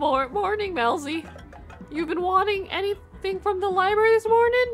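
Over clear music in the background, a female-sounding put-on character voice speaks at a moderate pace with an extremely high pitch.

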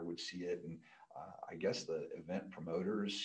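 A man with an American accent speaks at a moderate pace, and everything behind him is quiet. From US Midwest. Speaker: pole vault coach and sports equipment employee. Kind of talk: casual interview. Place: studio. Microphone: studio mic.

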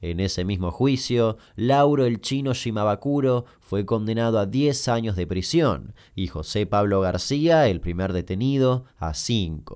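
Recorded very cleanly against a silent background, a man with a normal speaking voice and fairly low pitch talks at a fairly slow pace with lively intonation. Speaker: YouTube storyteller. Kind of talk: scripted narration.

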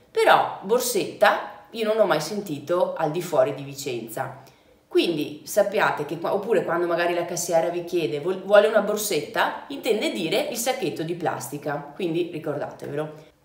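In a room with audible echo, a woman talks at a moderate pace in a fairly low pitch. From Vicenza, Veneto, Italy. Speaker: travel vlogger. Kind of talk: casual talk to camera. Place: home room.

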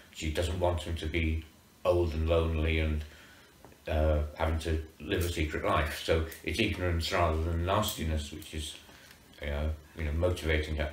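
The speaker talks at a moderate pace in a monotone, flat intonation, with light background noise and audible room echo. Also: man, very deep, low pitch for a man. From North Wales, Holyhead. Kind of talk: interview. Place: home room. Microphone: camera far.

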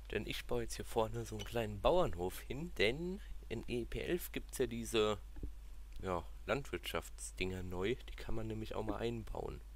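With vocal fry and a very deep, low pitch, a man talks at a fairly slow pace while his pitch swings very widely. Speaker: gaming YouTuber. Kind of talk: let's play commentary. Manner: casual, thinking aloud.

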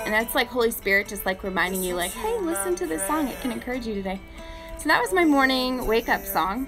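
A woman talking at a very fast pace over clear background music. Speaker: faith vlogger. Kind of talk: casual devotional live chat. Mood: warm, encouraging, smiling. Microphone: phone near.

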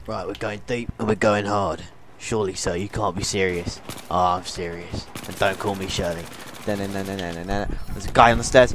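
A man with a British accent talks at a fairly quick pace, his pitch fairly low. His intonation stays fairly even against noticeable background noise. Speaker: gamer. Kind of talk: casual gaming banter. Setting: online multiplayer game chat.

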